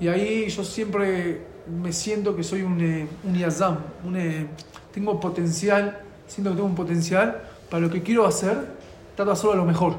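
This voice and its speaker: A high-pitched man at a moderate pace, with fairly even intonation and audible room echo. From Argentina. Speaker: rabbi and youth outreach worker. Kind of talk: personal testimony.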